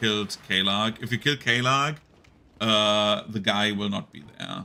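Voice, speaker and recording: Speaking at a fairly slow pace with an ordinary amount of pitch variation, the voice comes with a German accent. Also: man. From Germany. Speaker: video game streamer. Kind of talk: live gameplay commentary. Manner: casual, filler-heavy.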